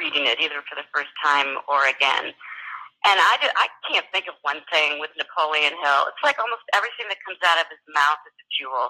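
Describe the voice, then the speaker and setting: A woman with a very deep, low pitch and a bright, sharp tone speaks at a moderate pace with ordinary pitch variation, big swings in loudness, and long, frequent pauses. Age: 60s. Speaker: business coach. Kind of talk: interview.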